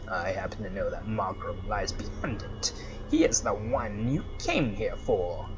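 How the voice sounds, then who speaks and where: Loud music plays in the background. A man uses a put-on character voice at a fairly slow pace. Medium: actual play. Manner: haughty, condescending.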